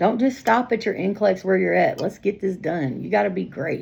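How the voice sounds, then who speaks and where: The speaker uses vocal fry and a very fast pace over a quiet background. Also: woman. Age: 40s. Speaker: nursing exam prep coach. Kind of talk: live-streamed tutoring session.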